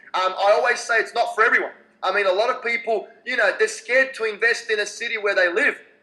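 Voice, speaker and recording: A man in a raised, projected voice with an Australian accent, very fast pace, extremely high pitch, ordinary pitch variation and a bright, sharp tone. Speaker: real estate investor. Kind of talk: Q&A answer.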